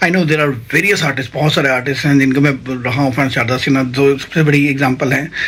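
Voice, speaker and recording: Talking at a moderate pace, a man with a fairly high pitch is heard against noticeable background noise. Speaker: vlogger and amateur singer. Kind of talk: casual vlog talk. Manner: halting, many fillers.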